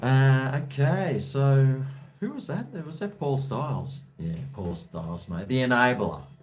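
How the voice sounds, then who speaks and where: Fairly slow speech in an Australian accent with very wide pitch swings and big swings in loudness, plus audible room echo and noticeable background noise. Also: man, medium pitch for a man. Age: 50s. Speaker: livestreamer. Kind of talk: casual chat. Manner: halting.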